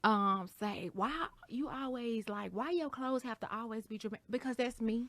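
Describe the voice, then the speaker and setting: At a moderate pace, a woman talks with a fairly high pitch and ordinary pitch variation. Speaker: podcast co-host. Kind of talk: casual chat. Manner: loud; boisterous.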